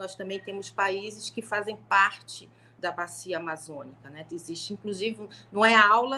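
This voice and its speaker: The woman's pitch sits in the medium range and varies in an ordinary way. She keeps a moderate pace. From Brazil, Niterói, Rio de Janeiro state. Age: 50s. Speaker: law professor. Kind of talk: panel talk on a live stream.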